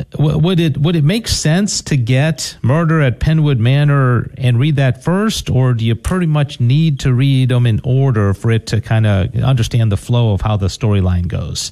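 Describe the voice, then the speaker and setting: A man speaks at a moderate pace and medium pitch, somewhat breathy, with lively intonation. His loudness is very even and there are hardly any pauses. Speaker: radio host. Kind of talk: radio interview. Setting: studio.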